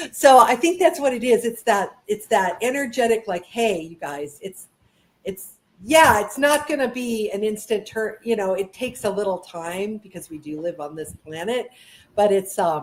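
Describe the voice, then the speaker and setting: A woman speaks at a fairly high pitch with very wide pitch swings. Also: moderate pace, big swings in loudness. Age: 60s. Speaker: author and education advocate. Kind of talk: casual chat. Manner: halting.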